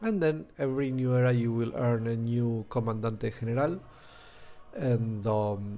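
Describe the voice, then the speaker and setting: Music plays in the background as a man with a Spanish accent and medium pitch talks at a fairly slow pace. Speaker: video game streamer. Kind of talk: gameplay commentary. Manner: hesitant, many fillers.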